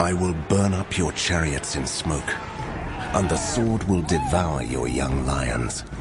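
Over clear background music, a man uses a put-on character voice at an extremely low pitch, speaking slowly with ordinary pitch variation.

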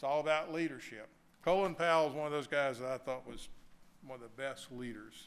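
Speaking fairly quickly in a Southern US accent, a man with a fairly high pitch uses ordinary pitch variation and big swings in loudness. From US South. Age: 70s. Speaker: bank executive; speaker. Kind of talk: keynote speech. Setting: stage with audience. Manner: folksy, joking. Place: hall. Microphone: podium.

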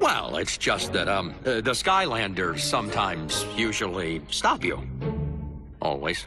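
Putting on a raspy character voice pitched fairly low, a man speaks at a fairly slow pace over clear background music. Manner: hesitant, nervous, fawning.

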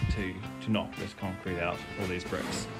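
Clear music is heard in the background. Over it, a man talks. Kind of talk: casual vlog chat. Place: garage. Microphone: phone near.

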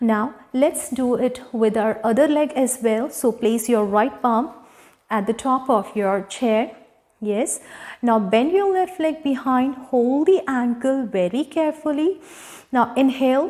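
A soft-spoken woman with an Indian accent talks at a fairly slow pace in a high pitch. Her loudness stays very even, and her pitch varies in an ordinary way. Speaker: yoga instructor. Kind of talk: guided yoga class instruction. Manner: calm, soft, soothing cueing. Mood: calm, guiding. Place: home room. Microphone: lapel.

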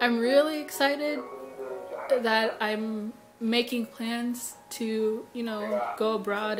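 Clear music plays in the background while the words come at a very slow pace. The intonation stays fairly even. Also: woman. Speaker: vlogger. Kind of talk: casual vlog chat. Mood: emotional, reflective. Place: home room. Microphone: phone near.

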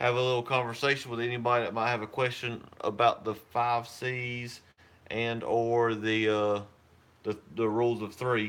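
Delivered at a moderate pace, a man's speech has monotone, flat intonation. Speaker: prepping channel host. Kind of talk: casual live-stream chat. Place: home room. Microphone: phone near.

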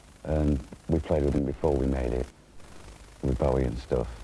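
Over music in the background, a man with a very deep, low pitch talks at a very fast pace with fairly even intonation. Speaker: interviewee. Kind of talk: interview answer. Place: hall.

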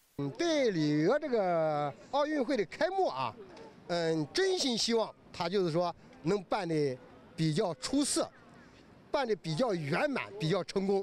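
Over light background noise, a man with a high pitch and very wide pitch swings speaks at a fairly slow pace, the sound dry with no echo. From Jiangsu, east China. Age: 60s. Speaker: farmer and long-distance tricycle traveller. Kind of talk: interview answer. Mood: cheerful, earnest. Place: street. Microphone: handheld.

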